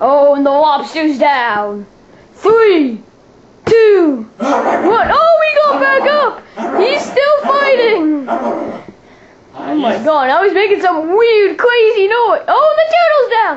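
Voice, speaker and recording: Extremely high put-on character voice with very wide pitch swings at a very slow pace. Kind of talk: mock sports ring calling. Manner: excited, exclamatory, play-by-play.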